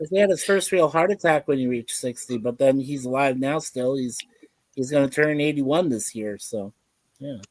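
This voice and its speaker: A man's fairly high voice at a moderate pace, with ordinary pitch variation and a dry, close sound lacking any echo. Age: 50s. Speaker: livestream panelist. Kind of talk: casual chat. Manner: animated.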